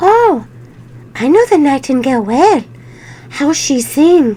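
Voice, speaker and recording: A woman puts on a character voice, pitched high with very wide swings in pitch. She speaks at a fairly slow pace. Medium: read story.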